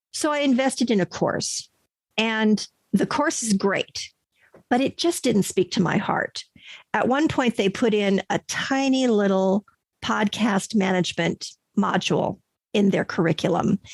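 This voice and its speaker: A woman's somewhat breathy voice at medium pitch, with lively intonation, very even loudness, and a dry, close sound with no echo. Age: 60s. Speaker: podcast manager and voice over artist. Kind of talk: interview answer.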